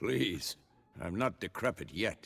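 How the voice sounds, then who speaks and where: A man puts on a raspy character voice. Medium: video game.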